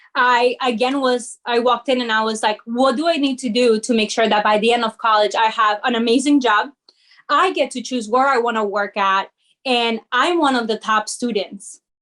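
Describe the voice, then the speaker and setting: A woman's high voice with ordinary pitch variation over a quiet background. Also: moderate pace. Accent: Spanish. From Peru, moved to New Jersey at 13. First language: Spanish. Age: young. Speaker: corporate sales lead and community founder. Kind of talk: interview. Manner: animated.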